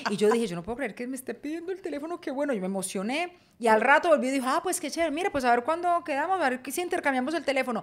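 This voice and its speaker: A woman in a Paisa accent with a high voice, an animated tone, lively intonation, and a very fast pace with hardly any pauses. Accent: Paisa (Medellín). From Colombia, Medellín. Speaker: podcast co-host. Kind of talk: casual chat. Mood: lively, humorous storytelling. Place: home room. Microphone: studio mic.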